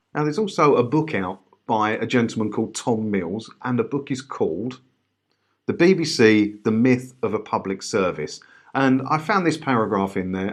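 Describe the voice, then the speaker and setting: Speaking with an Essex accent at a moderate pace, a man of medium pitch uses lively intonation over a quiet background. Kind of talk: reading a written passage aloud.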